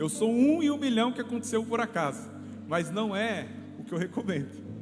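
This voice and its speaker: A man speaks in a São Paulo interior accent with very wide pitch swings. Music plays in the background, and audible room echo surrounds him. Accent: noticeable São Paulo interior. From interior of São Paulo state, Brazil (São José dos Campos). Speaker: lay preacher, ministry leader. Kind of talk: sermon. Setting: church service.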